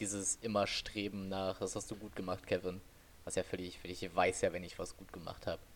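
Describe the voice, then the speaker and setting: A man talks at a fairly quick pace with a very deep, low pitch. His intonation is monotone and flat. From western Germany, Oberbergisches Land. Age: 20s. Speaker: podcast co-host. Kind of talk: casual chat. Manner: low-energy, calm.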